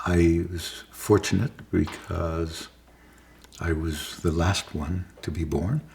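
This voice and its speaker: At a very slow pace, a man with a very deep, low pitch speaks in a somewhat breathy voice with fairly even intonation. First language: Yiddish. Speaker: interviewee recounting his life. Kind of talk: oral history interview. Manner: halting, many restarts and fillers.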